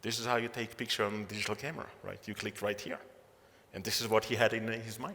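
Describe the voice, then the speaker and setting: Non-native accent from a man, medium in pitch. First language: not English. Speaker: entrepreneur and keynote speaker. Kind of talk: keynote talk. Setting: stage with audience. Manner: halting, many fillers.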